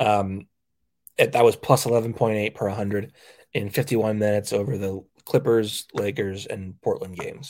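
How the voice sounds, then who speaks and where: A man's normal speaking voice, fairly low in pitch, with fairly even intonation at a moderate pace, on a very clean recording against a silent background. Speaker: sports podcast host and beat writer. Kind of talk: casual sports chat, analytical and rattling off stats. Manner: conversational, stumbling and repeating words.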